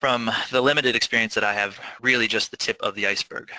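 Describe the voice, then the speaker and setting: A man at a very fast pace, monotone and flat, with a dry, close sound and no echo. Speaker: nonprofit gleaning coordinator, panelist. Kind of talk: webinar presentation. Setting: online webinar.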